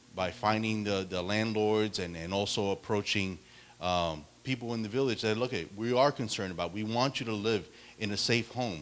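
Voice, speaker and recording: This man speaks at a moderate pace with a fairly low pitch and ordinary pitch variation. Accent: Spanish. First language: Spanish. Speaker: political candidate. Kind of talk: debate answer. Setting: public meeting with audience. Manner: halting, many repetitions.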